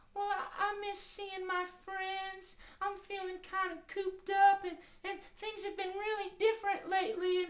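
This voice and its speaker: A put-on character voice with an extremely high pitch. It moves at a moderate pace in a monotone, flat intonation. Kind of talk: gentle children's show tone. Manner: sad, wistful, feeling cooped up.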